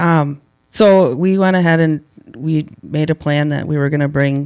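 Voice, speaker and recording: An unremarkable speaking voice, fairly even intonation, fairly slow pace. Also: man, fairly high pitch for a man. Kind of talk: casual podcast interview.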